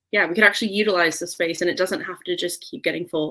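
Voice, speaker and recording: A woman is speaking. She has an American accent. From Southern California. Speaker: community gardener. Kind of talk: interview.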